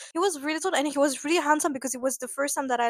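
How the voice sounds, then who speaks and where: In a French accent, a woman speaks at a high pitch with ordinary variation. The sound is dry and close with no echo. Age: 20s. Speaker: vlogger. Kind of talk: casual storytelling vlog. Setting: at home in apartment. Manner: hesitant, many fillers.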